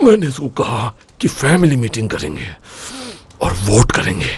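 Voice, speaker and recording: The voice is an obvious put-on character. Its delivery is fairly slow. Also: man, medium pitch for a man. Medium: fan dub.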